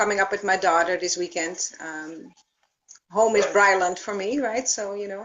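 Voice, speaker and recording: A woman's voice with big swings in loudness and ordinary pitch variation. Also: medium pitch for a woman, moderate pace. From Netherlands. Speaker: thermography practitioner. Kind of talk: live stream Q&A.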